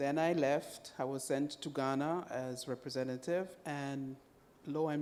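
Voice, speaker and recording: With a Zambian accent, a woman speaks in a very deep, low pitch and a dark, mellow tone. Her pace is fairly slow, with ordinary pitch variation. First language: Bemba. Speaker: UN agency country representative. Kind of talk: panel discussion. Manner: halting.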